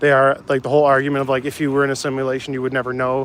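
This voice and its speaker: At a very fast pace, a man speaks in a monotone, flat intonation at a medium pitch. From Canada, northern Ontario (North Bay). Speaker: live streamer. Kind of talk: casual chat. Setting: outdoors.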